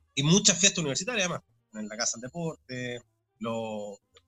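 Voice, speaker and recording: Recorded with a dry, close sound and no echo, a man at medium pitch speaks with lively intonation and a bright, sharp tone. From Chile, Santiago. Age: 40s. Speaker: sports commentator. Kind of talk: interview.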